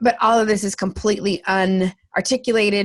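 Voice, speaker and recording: Captured on a very clean recording with a silent background, a woman with a plain, everyday voice speaks at a moderate pace and medium pitch. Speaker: comedian, speaker and vocal coach. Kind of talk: interview answer. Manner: lively, talkative.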